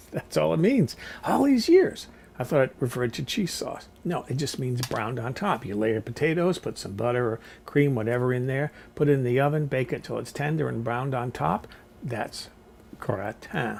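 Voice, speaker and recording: A somewhat breathy, medium-pitched man at a moderate pace, with lively intonation. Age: 60s. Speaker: cooking vlogger. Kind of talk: casual vlog monologue. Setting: seated in a rolling chair at home.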